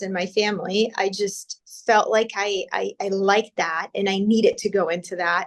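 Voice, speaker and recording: The speaker is a woman with an American accent. She talks at a fairly slow pace. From Brazil. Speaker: critical care doctor. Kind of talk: interview. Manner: hesitant, repeats words.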